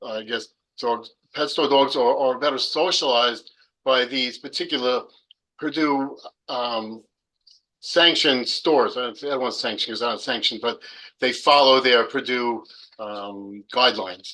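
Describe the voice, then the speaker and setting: Speaking at a moderate pace with long, frequent pauses, a man uses a medium pitch, a bright, sharp tone and fairly even intonation. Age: 60s. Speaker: pet store owner testifying at hearing. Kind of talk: public hearing testimony.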